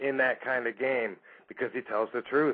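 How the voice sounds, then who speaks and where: A quiet background surrounds a man's speaking voice. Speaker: radio show host. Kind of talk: talk radio commentary.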